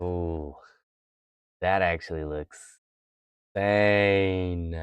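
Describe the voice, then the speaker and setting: The voice is quiet and very slow, with fairly even intonation. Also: man, very deep, low pitch for a man. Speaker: craft livestreamer. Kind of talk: casual livestream chat while painting. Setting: live stream. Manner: quiet, focused.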